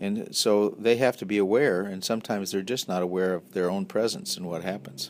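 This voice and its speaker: A man talks at a fairly quick pace with hardly any pauses, in a plain, everyday voice of fairly low pitch and ordinary pitch variation. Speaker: defense attorney. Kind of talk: interview.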